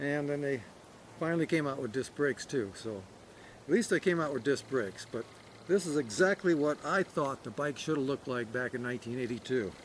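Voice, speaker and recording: Talking at a fairly quick pace, a man with a fairly high pitch uses lively intonation. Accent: American. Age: 50s. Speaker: cycling vlogger. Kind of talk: product review. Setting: outdoors. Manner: halting, many fillers.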